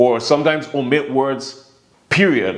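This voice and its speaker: There is audible room echo. A man talks with a Virgin Islands accent. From US Virgin Islands, St. Thomas. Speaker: vlogger. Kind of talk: casual vlog monologue. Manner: relaxed, filler-heavy.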